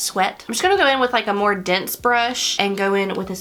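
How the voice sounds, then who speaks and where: A woman speaks at a moderate pace with an American accent, her pitch medium and its variation ordinary. Noticeable background noise sits behind her. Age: 30s. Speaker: beauty vlogger. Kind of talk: makeup tutorial. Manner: casual, chatty.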